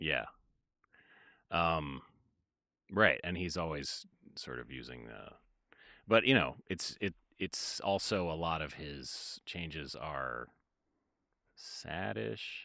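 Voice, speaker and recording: A man with a very deep, low pitch, vocal fry and a bright, sharp tone speaks at a very slow pace with lively intonation. He leaves long, frequent pauses, and the sound is dry with no echo against a quiet background. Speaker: music producer streamer. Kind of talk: casual livestream chat. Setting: livestream. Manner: halting.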